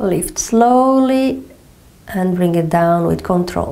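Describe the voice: With a Portuguese accent, the speaker talks at a slow pace in a dark, mellow tone, using lively intonation and vocal fry, with audible room echo. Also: woman, fairly low pitch for a woman.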